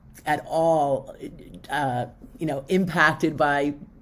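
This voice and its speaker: A woman speaks in a New York accent. Her pitch varies an ordinary amount. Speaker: public relations professional. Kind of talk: podcast interview. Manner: halting, many fillers.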